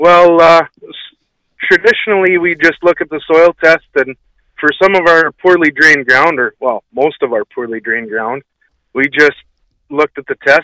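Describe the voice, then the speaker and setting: A man with a Canadian prairie accent speaks at a fairly high pitch, his loudness swinging widely. His tone is bright and sharp, and the sound is dry and close with no echo. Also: ordinary pitch variation, moderate pace. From Manitoba, Canada. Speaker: farmer. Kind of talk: radio call-in. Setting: phone call.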